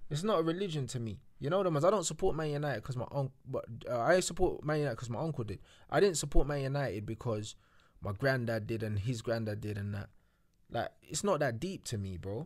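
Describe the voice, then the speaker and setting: A man speaks at a very fast pace with very wide pitch swings, his pitch sitting in the medium range. The recording is very clean, with a silent background. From London. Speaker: football YouTuber. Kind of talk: casual chat.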